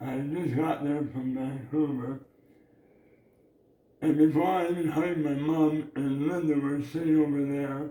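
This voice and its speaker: A dark, mellow tone, flat and monotone, at a fairly slow pace. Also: man. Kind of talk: casual family talk to camera.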